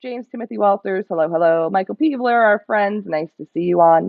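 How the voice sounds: A woman at a moderate pace, lively intonation and vocal fry, dry, close sound with no echo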